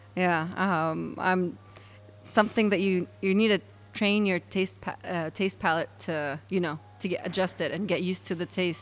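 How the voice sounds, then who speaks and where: A woman at a medium pitch and moderate pace, fairly even in intonation, with music in the background. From Palestine. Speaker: brewer. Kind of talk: interview. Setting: at a brewery. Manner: halting.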